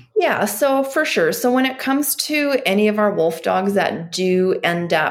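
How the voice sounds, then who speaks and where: With lively intonation and an unremarkable speaking voice, a woman of medium pitch talks at a moderate pace. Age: 30s. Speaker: animal sanctuary director. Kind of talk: interview.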